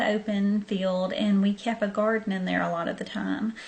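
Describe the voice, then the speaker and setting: A woman with a Southern US accent talks at a moderate pace in a medium pitch. Her intonation is monotone and flat, with noticeable background noise behind her. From US South, southern Arkansas. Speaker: vlogger. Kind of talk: storytelling. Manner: casual, hesitant with many ums.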